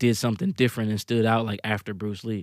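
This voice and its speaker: A man talks at a very fast pace. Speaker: music video director. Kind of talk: casual chat. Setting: studio. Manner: halting.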